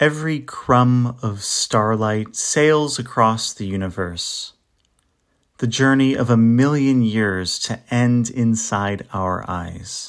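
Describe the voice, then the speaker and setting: This man speaks at a very slow pace with a medium pitch. His pitch varies in an ordinary way. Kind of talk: poetry reading. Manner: measured, lyrical; wistful, contemplative.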